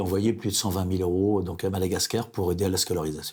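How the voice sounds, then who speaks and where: At a very fast pace, a man talks in a somewhat breathy voice with a fairly low pitch. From France, Vendée. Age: 70s. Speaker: retired printer, art collector. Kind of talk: interview. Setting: at his home. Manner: halting.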